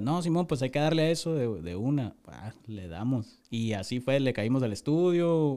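Against a silent background in a very clean recording, a man with an unremarkable speaking voice talks at a moderate pace with lively intonation. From Tijuana, Mexico. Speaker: rapper. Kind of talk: casual chat.

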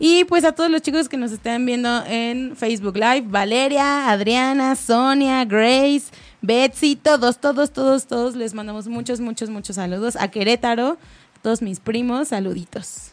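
In a high pitch, a woman speaks at a fairly slow pace with an animated tone and ordinary pitch variation. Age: young. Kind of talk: casual chat.

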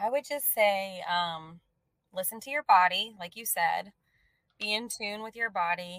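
A normal speaking voice from a woman, medium in pitch, with ordinary pitch variation, a fairly slow pace and big swings in loudness. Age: 30s. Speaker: breast cancer survivor. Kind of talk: testimony.

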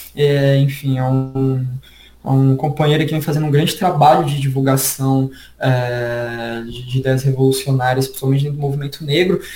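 Somewhat breathy and dark, mellow in tone, a man's medium-pitched voice moves at a moderate pace with monotone, flat intonation. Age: 20s. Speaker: history teacher and researcher. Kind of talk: casual interview chat.

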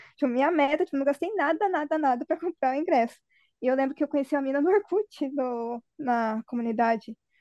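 A woman with a high, dark and mellow voice speaks at a moderate pace with ordinary pitch variation. The sound is dry and close with no echo, over a quiet background. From Curitiba, Brazil. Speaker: fan site runner. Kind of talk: casual chat.

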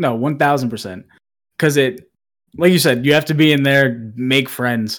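Someone with a plain, everyday voice talks at a fairly quick pace in an American accent. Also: man. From Massachusetts. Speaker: Twitch streamer. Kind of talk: casual chat.

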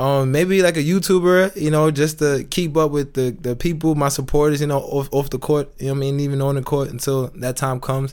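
A man with an American accent and an ordinary speaking voice, fairly high in pitch, fairly quick, with fairly even intonation and hardly any pauses. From New York. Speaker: professional basketball player. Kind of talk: casual interview.

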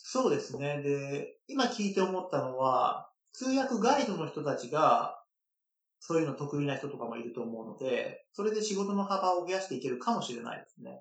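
A man's high-pitched voice at a moderate pace, with very wide pitch swings and big swings in loudness. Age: 30s. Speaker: licensed tour guide, dancer and guide instructor. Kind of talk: interview.

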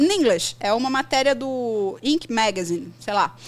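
This woman's voice is high in pitch. She speaks at a fairly slow pace. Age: 40s. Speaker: English teacher. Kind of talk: casual chat.

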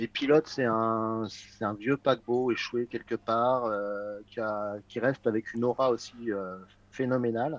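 Here is a man with a normal speaking voice at medium pitch and fairly even intonation. The sound is dry and close, with no echo. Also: fairly slow pace. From France, Paris west suburbs. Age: 50s. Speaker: magazine editor-in-chief. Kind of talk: casual chat.

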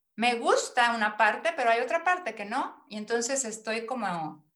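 With a bright, sharp tone and lively intonation, a woman speaks in a fairly high pitch at a moderate pace. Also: hardly any pauses. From Mexico, Mérida, Yucatán. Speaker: personal development coach. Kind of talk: interview.

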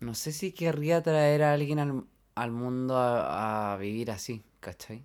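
A man talks very slowly in a Chilean accent. His medium pitch shows ordinary pitch variation. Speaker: podcast co-host. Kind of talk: casual chat.

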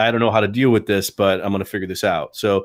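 A man's fairly low-pitched, a normal speaking voice with fairly even intonation. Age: 40s. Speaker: comic book creator. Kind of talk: podcast interview.

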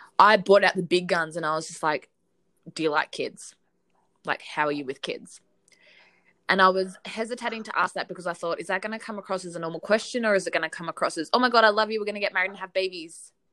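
A woman with an Australian accent speaks very fast in a bright, sharp, animated tone. Her pitch sits in the middle, and her loudness rises and falls sharply. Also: ordinary pitch variation. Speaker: podcast co-host. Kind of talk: casual chat.

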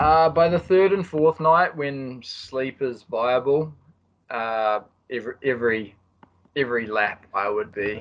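A man with a New Zealand accent talks at a medium pitch and a fairly slow pace, with lively intonation and long, frequent pauses. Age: 30s. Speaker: ultra distance runner. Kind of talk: interview.

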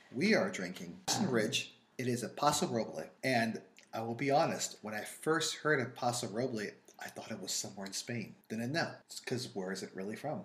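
Speaking in a New York accent, a man keeps a fairly quick pace. His pitch is medium and his intonation lively. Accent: New York, drops th sounds. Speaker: wine and food podcast co-host. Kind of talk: casual chat.

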